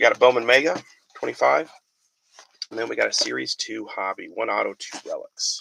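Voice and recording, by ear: A man talks at a fairly quick pace and medium pitch, with ordinary pitch variation. His tone is bright and sharp, with vocal fry and a slightly husky edge.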